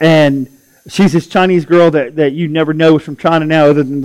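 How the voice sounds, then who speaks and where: This man speaks at a fairly quick pace in an ordinary speaking voice. His fairly high pitch follows fairly even intonation. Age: 50s. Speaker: pastor. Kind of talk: sermon.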